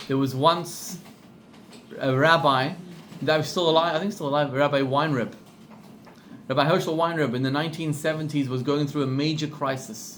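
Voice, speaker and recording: Someone with a South African accent speaks with fairly even intonation and long, frequent pauses amid audible room echo. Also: man, fairly high pitch for a man, moderate pace. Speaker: rabbi. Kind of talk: class talk with storytelling.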